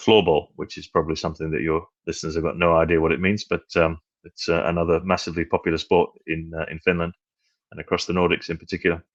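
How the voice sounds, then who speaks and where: Very fast and monotone with flat intonation, the voice comes across dry and close with no echo. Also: man, very deep, low pitch for a man. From northern England, Manchester. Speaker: cricket administrator. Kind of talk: podcast interview. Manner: hesitant, many fillers and repetitions.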